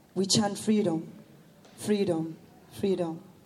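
A woman speaks very slowly, with audible room echo around her voice. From South Africa, Soweto. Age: young. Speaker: performance poet. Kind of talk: poetry performance.

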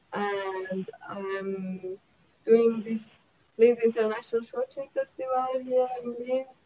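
Over noticeable background noise, a woman with a fairly high pitch speaks at a very slow pace with fairly even intonation and big swings in loudness. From Iran. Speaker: film festival director. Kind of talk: panel discussion.

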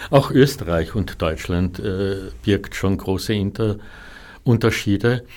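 On a very clean recording with a silent background, a man speaks very slowly with long, frequent pauses, using a fairly low pitch and lively intonation. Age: 60s. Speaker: artist. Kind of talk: interview. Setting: studio. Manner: halting.

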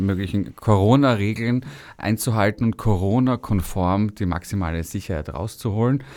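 A man speaks at a medium pitch with a dark, mellow tone and ordinary pitch variation. His moderate pace comes through in a very clean recording with a silent background. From Austria, Vienna. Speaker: radio host. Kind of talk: casual interview chat. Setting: radio studio.

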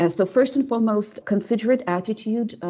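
In a Russian accent, the voice has a dark, mellow tone and lively intonation. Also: woman. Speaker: linguistics professor. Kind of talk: interview. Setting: video call. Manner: hesitant, many fillers.

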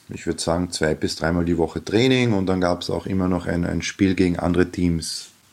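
A man's very deep, low voice with fairly even intonation at a moderate pace. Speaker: basketball coach and teacher. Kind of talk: radio interview answers.

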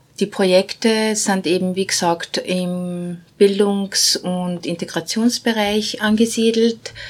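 A woman talks very slowly with fairly even intonation and hardly any pauses. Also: medium pitch for a woman. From Bosnia. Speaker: non-profit managing director. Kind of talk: interview.

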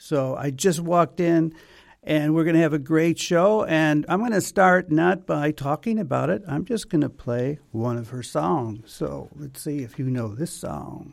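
On a very clean recording with a silent background, a man with a normal speaking voice and fairly high pitch talks at a fairly slow pace, with ordinary pitch variation and hardly any pauses. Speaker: radio host. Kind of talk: casual interview. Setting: radio studio.

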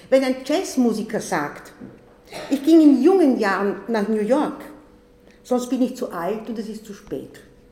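Fairly slow speech with long, frequent pauses and big swings in loudness, plus audible room echo and noticeable background noise. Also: woman, high pitch for a woman. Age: 70s. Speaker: retired primary school teacher and author. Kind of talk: symposium talk with reading aloud. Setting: symposium in press centre.

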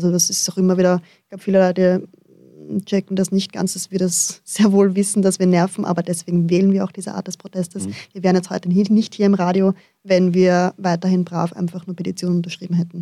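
Her voice is medium in pitch with a dark, mellow tone, and the woman speaks at a very fast pace in a monotone, flat intonation. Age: 20s. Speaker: primary school teacher. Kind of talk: radio interview. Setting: studio.

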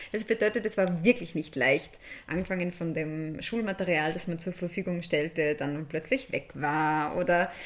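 A woman's fairly low pitch, a normal speaking voice, ordinary pitch variation at a moderate pace. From Upper Austria, Steyr area. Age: 20s. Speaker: music education student and performer. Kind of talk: radio interview.

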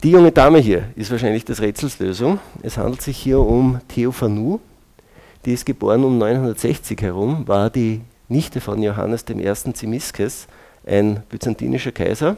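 Dark and mellow in tone, a man speaks at a moderate pace with ordinary pitch variation. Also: medium pitch for a man. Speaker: molecular biologist and lecturer. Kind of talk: lecture.

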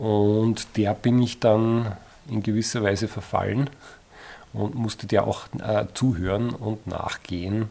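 Fairly low in pitch, a man talks at a very slow pace with fairly even intonation. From Upper Austria, Eferding. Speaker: author. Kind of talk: interview.

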